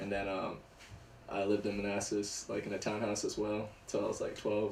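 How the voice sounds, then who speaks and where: Heard with audible room echo, a man with an American accent speaks fairly quickly in a fairly low, monotone, flat voice. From northern Virginia, US. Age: 20s. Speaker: skateboarder. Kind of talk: casual chat.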